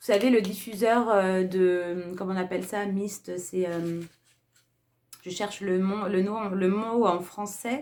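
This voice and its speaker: A woman at a very slow pace, with big swings in loudness. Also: medium pitch for a woman, fairly even intonation. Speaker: beauty and lifestyle youtuber. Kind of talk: casual haul video talk. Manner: hesitant, many fillers.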